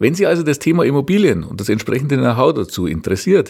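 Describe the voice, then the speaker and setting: A man with a Bavarian accent, fairly high pitch, very wide pitch swings and vocal fry, on a very clean recording with a silent background. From Bavaria, Regensburg. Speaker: real estate appraiser and podcast host. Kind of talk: podcast introduction monologue. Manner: formal.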